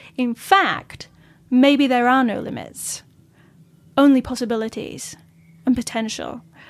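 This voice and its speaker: A woman with a Yorkshire accent, high in pitch, at a moderate pace with fairly even intonation. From Yorkshire, northern England. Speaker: astral projection teacher. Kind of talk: interview.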